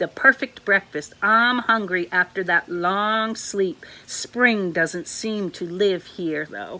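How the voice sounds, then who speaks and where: In a put-on character voice that sounds female, the speaker talks at a middle pitch and a fairly slow pace with hardly any pauses. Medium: read story. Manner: slow, kindly.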